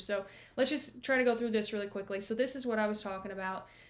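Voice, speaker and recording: Audible room echo surrounds a woman talking at a fairly high pitch. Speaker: real estate agent. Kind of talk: screen-share walkthrough of property comparables. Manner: casual, many fillers.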